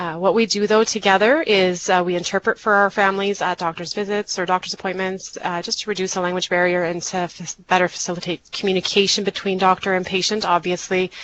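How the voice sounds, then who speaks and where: Over noticeable background noise, a woman speaks at a very fast pace with hardly any pauses and monotone, flat intonation. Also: medium pitch for a woman. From Canada (moved from Mexico at age four). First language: Low German. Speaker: community health worker and interpreter. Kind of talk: presentation. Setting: webinar.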